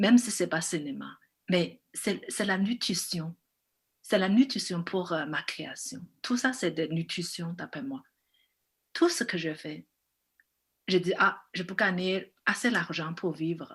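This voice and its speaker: A very slow, somewhat breathy delivery with long, frequent pauses, big swings in loudness and ordinary pitch variation. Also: woman, medium pitch for a woman. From China. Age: 40s. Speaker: film director. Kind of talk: interview. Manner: halting.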